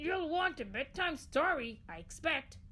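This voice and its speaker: A high-pitched, put-on character voice comes through over clear background noise. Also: moderate pace. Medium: read story. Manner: formal, fussy.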